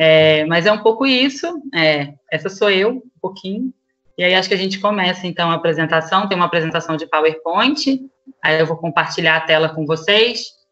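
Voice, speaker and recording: With a Carioca accent, a woman speaks at a moderate pace and fairly low pitch. Her intonation is lively, and music plays in the background. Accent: Carioca (Rio de Janeiro). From Rio de Janeiro, Brazil. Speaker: school coordinator. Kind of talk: online presentation to fellow educators. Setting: video call.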